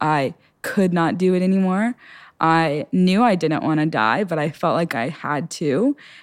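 An ordinary speaking voice at a fairly slow pace with lively intonation, in a very clean recording with a silent background. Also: woman. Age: under 20s (19). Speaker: young woman sharing faith testimony. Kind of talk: testimony. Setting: studio interview.

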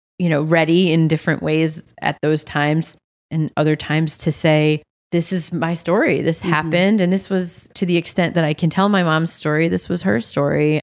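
In an American accent, a woman with an unremarkable speaking voice talks at a fairly low pitch and moderate pace, with fairly even intonation and very even loudness, on a very clean recording with a silent background. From New England (Massachusetts, New Hampshire). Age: 30s. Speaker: writer and teacher. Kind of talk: casual interview about grief.

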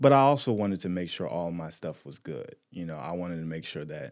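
A man talks very fast in a very deep, low voice with vocal fry. His intonation is lively. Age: 30s. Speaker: brand founder and entrepreneur. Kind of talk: casual chat.

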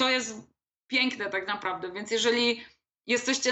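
Here a woman has a normal speaking voice, fairly high in pitch, with fairly even intonation at a moderate pace. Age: 30s. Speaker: copywriter and blogger. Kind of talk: casual interview.

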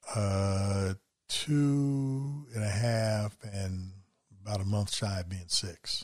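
A man's fairly low, somewhat breathy voice at a very slow pace, with ordinary pitch variation, in a very clean recording with a silent background. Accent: American. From West Virginia. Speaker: foster and adoptive parent. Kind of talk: casual chat.

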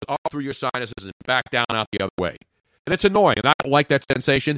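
A man with a Philadelphia accent talks at a very fast pace, his pitch swinging very widely in an animated tone. The sound is dry and close, with no echo. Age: 60s. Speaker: sports radio host. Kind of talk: casual chat. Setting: studio.

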